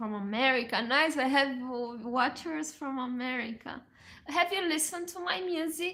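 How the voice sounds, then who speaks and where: Bright and sharp in tone, the voice is raised and projected. It carries a Romanian accent at a moderate pace. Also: woman, high pitch for a woman, lively intonation. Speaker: musician and livestreamer. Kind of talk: casual livestream chat. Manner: halting.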